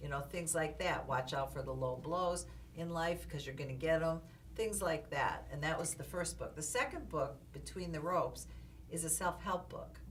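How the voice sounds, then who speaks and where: A woman talks at a moderate pace, and room echo can be heard around her voice. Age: 70s. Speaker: boxing manager and author. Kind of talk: interview. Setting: recording studio.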